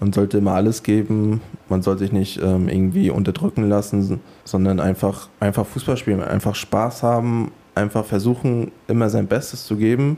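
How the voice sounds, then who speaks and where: Here a man talks at a moderate pace with a fairly low pitch and ordinary pitch variation. His loudness stays very even. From Mecklenburg, Schwerin. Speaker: professional footballer. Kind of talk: interview. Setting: stadium. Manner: hesitant, many fillers.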